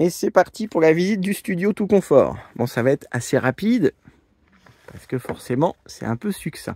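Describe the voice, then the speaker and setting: A man at a moderate pace, very wide swings in pitch, dry and close sound without echo. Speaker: vlogger presenting vehicles. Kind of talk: video tour presentation. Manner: hesitant fillers (euh).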